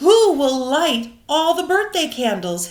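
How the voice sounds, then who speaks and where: A woman performs a put-on character voice at a high pitch, swinging her pitch very widely. She speaks at a fairly slow pace. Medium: read story.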